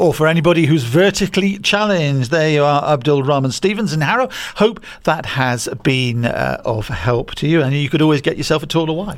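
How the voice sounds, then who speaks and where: Speaking at a fairly quick pace, a man with a British accent uses a fairly high pitch. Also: lively intonation. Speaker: co-host. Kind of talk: podcast chat and news reading.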